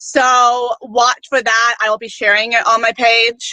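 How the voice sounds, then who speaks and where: A woman's fairly high voice has a bright, sharp tone, heard as a dry, close sound with no echo. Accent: New York. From Okanagan, British Columbia, Canada. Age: 20s. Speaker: pageant contestant and motivational speaker. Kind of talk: interview.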